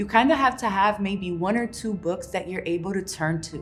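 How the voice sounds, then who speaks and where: A woman's medium-pitched voice with music in the background. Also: ordinary pitch variation, moderate pace. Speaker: poet and author. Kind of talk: casual instructional talk to camera.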